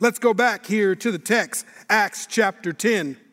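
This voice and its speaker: Spoken at a very slow pace with an American accent, the recording is very clean with a silent background. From Minnesota, Minneapolis. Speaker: pastor. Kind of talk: sermon. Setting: church.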